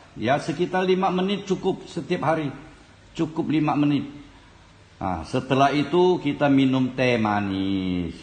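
Room echo can be heard. Over it, a man speaks fairly slowly. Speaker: folk remedy practitioner demonstrating. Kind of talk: tutorial. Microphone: phone near.

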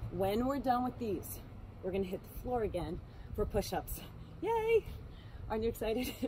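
A woman at a moderate pace with ordinary pitch variation, over light background noise. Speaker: fitness instructor. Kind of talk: workout instruction. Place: waterside.

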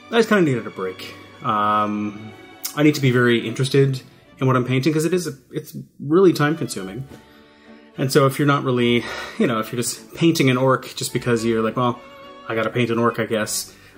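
Faint music plays in the background. A man talks at a fairly quick pace with ordinary pitch variation. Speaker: hobby channel host. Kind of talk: casual vlog chat. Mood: relaxed, slightly reflective. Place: home room.

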